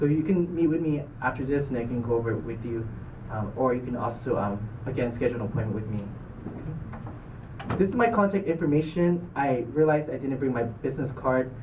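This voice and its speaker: Amid noticeable background noise and audible room echo, a man talks at a fairly quick pace and medium pitch with ordinary pitch variation. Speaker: dental school admissions officer. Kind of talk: presentation to student club. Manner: fast.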